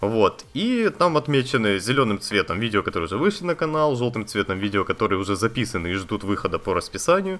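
Over music in the background, a man talks very fast with hardly any pauses, his medium-pitched voice making very wide pitch swings. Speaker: gaming YouTuber. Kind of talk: casual vlog to viewers. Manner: conversational, with fillers. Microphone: new budget condenser studio microphone.

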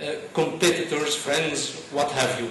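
A man speaks with audible room echo. Light background noise is present. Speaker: conference speaker. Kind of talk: talk to an audience. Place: stage.

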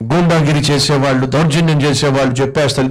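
Against a quiet background, a man with a fairly high pitch for a man speaks in a somewhat breathy voice with fairly even intonation. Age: 40s. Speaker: pastor. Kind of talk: sermon. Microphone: handheld.

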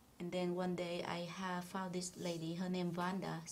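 At a moderate pace, a woman speaks in a somewhat breathy voice with a fairly low pitch. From Vietnam. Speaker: spa owner. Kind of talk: interview.

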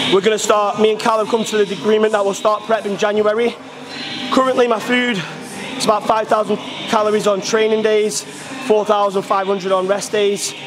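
Clear music plays behind a man who speaks fairly quickly in a high, flat, monotone voice. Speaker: coach. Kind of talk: casual vlog chat. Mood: positive, motivated. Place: gym.

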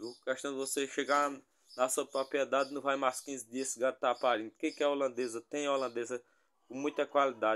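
A man speaks at a fairly quick pace. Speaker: livestock channel host. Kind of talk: casual sales commentary. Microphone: phone near.

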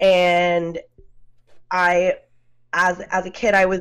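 Over a quiet background, a woman speaks at a very slow pace. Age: 30s. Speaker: podcaster. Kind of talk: casual chat. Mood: candid, reflective about childhood. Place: home room. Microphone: video call.

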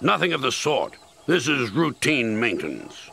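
Putting on a character voice, a man uses a bright, sharp tone with vocal fry and big pitch swings. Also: medium pitch for a man, fairly slow pace.

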